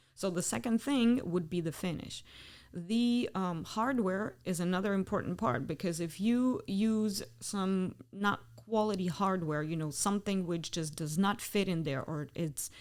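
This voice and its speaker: The delivery is fairly slow, with hardly any pauses and lively intonation. The speaker has a Ukrainian accent. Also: woman, medium pitch for a woman. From Ukraine. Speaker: custom door company CEO. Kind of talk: podcast interview.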